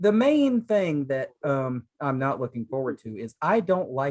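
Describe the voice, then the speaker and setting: Someone with a Southern US accent speaks at a fairly slow pace with lively intonation, the sound dry and close with no echo. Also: man. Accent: Southern, the lightest of the three. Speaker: podcast co-host, aspiring sports broadcaster. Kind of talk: casual chat.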